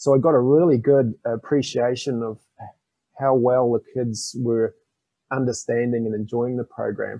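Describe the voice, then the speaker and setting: A man with a New Zealand accent, medium-pitched, with ordinary pitch variation and a moderate pace. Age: 50s. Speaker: financial education author. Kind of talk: interview.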